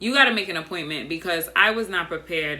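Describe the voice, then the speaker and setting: A woman talks at a fairly quick pace while noticeable background noise carries on. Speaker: YouTuber / vlogger. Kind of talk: casual storytelling vlog. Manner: monotone; soft-spoken, not loud.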